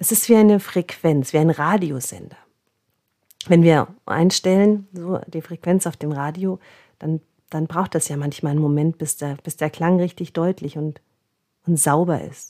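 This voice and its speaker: A woman with a fairly low pitch and a dark, mellow tone speaks at a fairly slow pace, leaving long, frequent pauses, her intonation fairly even. The sound is dry and close with no echo, on a very clean recording with a silent background. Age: 40s. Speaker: body therapist and podcast host. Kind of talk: spiritual self-help monologue.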